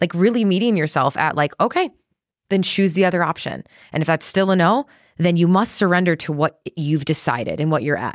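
A woman at a fairly quick pace with lively intonation, dry, close sound with no echo, on a very clean recording with a silent background. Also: fairly low pitch for a woman. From US Midwest, Chicago. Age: 30s. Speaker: entrepreneur and podcaster. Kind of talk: casual chat. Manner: animated.

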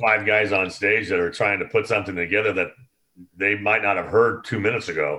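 A man speaks in a normal speaking voice with an American accent. His intonation stays fairly even at a fairly quick pace. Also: fairly low pitch for a man. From Oakland, California. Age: 60s. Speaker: concert production veteran. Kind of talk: casual chat.

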